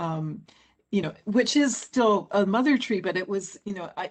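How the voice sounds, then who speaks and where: A woman's unremarkable speaking voice, medium in pitch, with ordinary pitch variation and a moderate pace. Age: 60s. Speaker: forest scientist and author. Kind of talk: panel interview.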